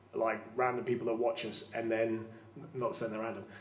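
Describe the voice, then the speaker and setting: The man talks at a very fast pace. Room echo is audible. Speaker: prison site manager and live stream host. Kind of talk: live-streamed ghost tour. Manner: halting.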